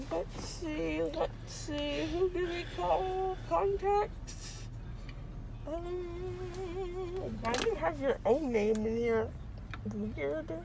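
A woman speaks at a very slow pace. Clear music plays in the background, and the sound is dry with no echo. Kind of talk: casual rambling chat, groggy. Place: car. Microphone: phone near.

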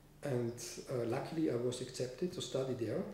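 With audible room echo and light background noise, a man talks in a German accent. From Austria. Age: 50s. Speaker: composer. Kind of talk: interview. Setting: studio. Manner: halting. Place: home room. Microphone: camera far.

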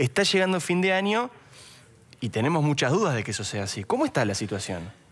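Talking at a very fast pace, a man with an Argentine accent makes very wide pitch swings. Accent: Argentine Spanish (Rioplatense). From Argentina. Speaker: TV news host. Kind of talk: TV interview. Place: studio. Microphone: headset.

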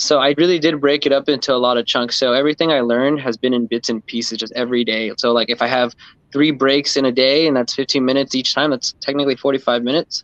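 A man talks at a very fast pace with hardly any pauses and fairly even intonation. The sound is dry with no echo, and the background is quiet. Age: 30s. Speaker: freeskating community member. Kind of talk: casual chat. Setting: live stream. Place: home room. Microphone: video call.

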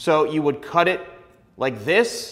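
At a fairly slow pace, a man speaks with a high pitch. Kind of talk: tutorial. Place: studio. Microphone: lapel.

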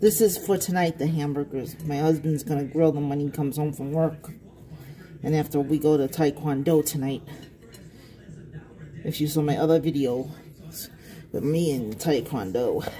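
A woman with a very deep, low, dark and mellow voice speaks at a moderate pace, somewhat breathy, with ordinary pitch variation. Long, frequent pauses break her speech over light background noise. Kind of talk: casual cooking vlog chat. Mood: relaxed and chatty. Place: kitchen. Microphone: phone near.

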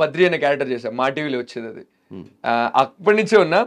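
The background stays quiet. Against it, a man talks with lively intonation. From Rayalaseema, Andhra Pradesh; Andhra Pradesh. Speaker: actor; actor interview guest. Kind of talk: interview. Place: studio. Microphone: lapel.

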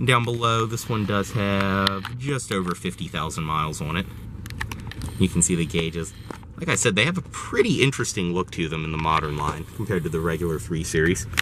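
A man with a very deep, low pitch talks at a fairly quick pace. The sound is dry with no echo, though background noise is noticeable. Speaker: presenter. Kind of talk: car walkaround commentary. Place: car. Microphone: phone near.

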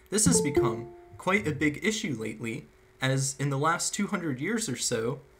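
With music in the background, a man talks in a lively intonation. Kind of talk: lecture. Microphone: webcam.

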